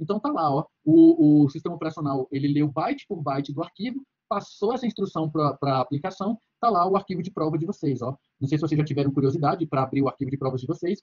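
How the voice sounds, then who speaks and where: Delivered at a very fast pace, the speech has ordinary pitch variation. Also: man, fairly high pitch for a man. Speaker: university lecturer. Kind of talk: lecture. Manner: halting, many fillers.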